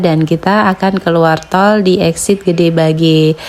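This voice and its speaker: A woman speaks in a fairly low pitch with flat, monotone intonation. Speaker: travel vlogger. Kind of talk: travel vlog narration. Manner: not very fast.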